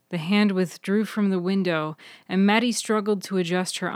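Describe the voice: The recording is plain reading aloud, its intonation kept fairly even.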